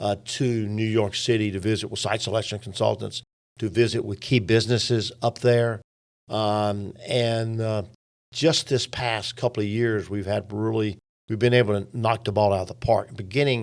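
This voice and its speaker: A man with an ordinary speaking voice, fairly low pitch, fairly even intonation and a moderate pace, on a very clean recording with a silent background. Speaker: business chamber executive. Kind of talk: interview.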